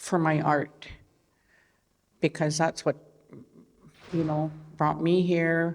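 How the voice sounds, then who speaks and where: A woman with an Albertan accent speaks very slowly in a very deep, low voice, her loudness very even. Her intonation is flat and monotone, with long, frequent pauses. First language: Blackfoot. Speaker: artist. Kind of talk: panel talk. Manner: halting.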